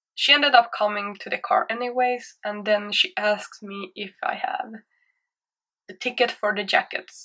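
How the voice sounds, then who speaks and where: Against a quiet background, a woman with a Swedish accent speaks at a moderate pace in a bright, sharp tone. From Sweden. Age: 20s. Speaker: YouTuber. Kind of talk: storytime monologue. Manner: hesitant, insecure. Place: home room. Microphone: webcam.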